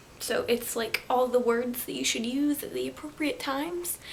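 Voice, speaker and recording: Her pitch is high, with ordinary variation. Noticeable background noise runs behind this woman's voice. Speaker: booktuber. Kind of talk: casual vlog book haul. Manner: hesitant, many fillers.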